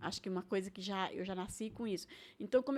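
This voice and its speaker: Over a silent background in a very clean recording, a woman talks at a very fast pace with ordinary pitch variation. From Brazil, Maranhão (São Luís). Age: 60s. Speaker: retired cook. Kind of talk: casual interview.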